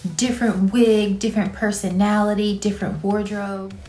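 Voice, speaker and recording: A woman speaks in a dark, mellow tone, somewhat breathy, with monotone, flat intonation and audible room echo. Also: moderate pace. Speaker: actress. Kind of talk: casual talk to camera. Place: home room. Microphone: phone near.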